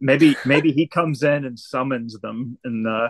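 Here a man has an unremarkable speaking voice at a medium pitch with fairly even intonation. The background is quiet, and the sound is dry and close with no echo. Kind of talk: casual chat.

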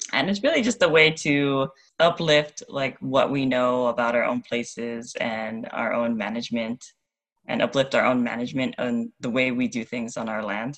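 An American accent at a moderate pace. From Hawaii, US. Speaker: environmental association president. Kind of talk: casual interview. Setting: phone call.

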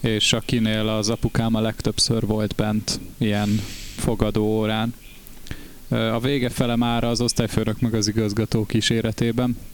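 A man at medium pitch speaks at a fairly slow pace, his intonation monotone and flat and his loudness very even. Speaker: band member and podcast co-host. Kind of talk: casual chat.

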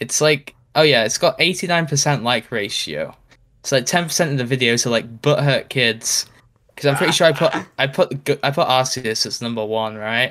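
With a British accent and a bright, sharp tone, a man delivers his words deadpan at a medium pitch and fairly quick pace, on a very clean recording with a silent background. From Britain. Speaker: YouTuber. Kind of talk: casual chat.

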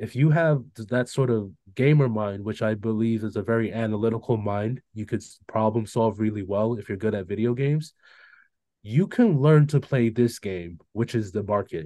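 Against a quiet background, a man with a dark, mellow tone speaks at medium pitch and a moderate pace, with ordinary pitch variation. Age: 30s. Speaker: trader. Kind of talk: casual chat. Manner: halting.

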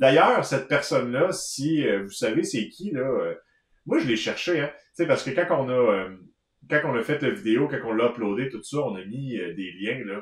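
A man with a Quebec accent talks at medium pitch, somewhat breathy, with lively intonation. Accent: Québécois French. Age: 30s. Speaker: knitting podcast co-host. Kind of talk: casual chat. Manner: halting.

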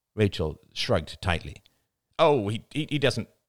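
Behind the voice, all is quiet. It is a natural reading voice.

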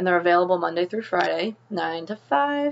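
A woman speaks at a moderate pace and a fairly low pitch in an ordinary speaking voice. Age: 30s. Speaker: podcast host and nurse practitioner. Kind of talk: personal monologue and advice. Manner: casual with frequent fillers.

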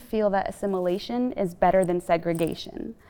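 With music playing in the background, the speaker moves at a fairly quick pace with ordinary pitch variation. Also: woman. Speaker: discussion moderator, medical researcher. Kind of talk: moderated panel discussion. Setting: library reading room, filmed.

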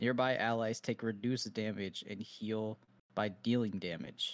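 Speaking at a fairly slow pace, a man with an ordinary speaking voice uses medium pitch and fairly even intonation in a very clean recording with a silent background. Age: 20s. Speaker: gaming podcast co-host. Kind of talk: casual chat.

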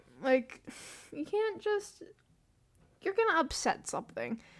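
This woman speaks with an American accent at a moderate pace. Her pitch swings very widely. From US South. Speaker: podcaster. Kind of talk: solo casual ramble. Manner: rambling, self-deprecating; animated, laughs often.

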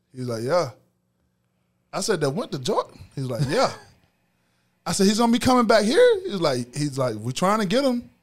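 A high-pitched man with an American accent, at a moderate pace, with very wide pitch swings and long, frequent pauses. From US South, Macon, Georgia. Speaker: former college football player. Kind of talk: interview.

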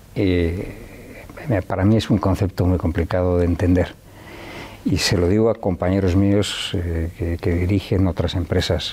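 A man's very deep, low voice with fairly even intonation at a fairly slow pace. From Spain, León (Riaño). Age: 60s. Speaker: businessman. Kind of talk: interview. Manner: halting, many fillers and repetitions.

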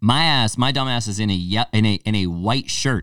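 Speaking in a plain, everyday voice, a man keeps a moderate pace at medium pitch with lively intonation. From Connecticut (Torrington). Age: 20s. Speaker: podcast host and gym owner. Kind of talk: casual chat. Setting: gym.

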